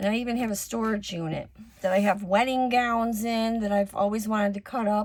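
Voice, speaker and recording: A woman with a normal speaking voice talks at medium pitch and a moderate pace, her intonation fairly even. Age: 60s. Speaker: crafter and online seller. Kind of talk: casual craft tutorial chat. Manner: casual with many fillers.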